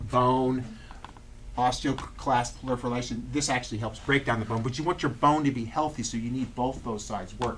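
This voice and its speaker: A man keeps a medium pitch and fairly even intonation while noticeable background noise and audible room echo fill the recording. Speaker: chiropractor. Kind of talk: lecture. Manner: fast.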